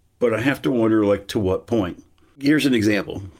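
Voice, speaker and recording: A man's fairly low-pitched, a normal speaking voice, in a very clean recording with a silent background. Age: 60s. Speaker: philosophy professor. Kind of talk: casual interview.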